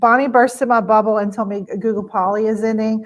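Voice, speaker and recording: With a Louisiana accent, a woman speaks at a fairly high pitch. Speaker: educator presenting on virtual tours. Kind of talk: webinar presentation. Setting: live stream webinar. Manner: casual, many filler words.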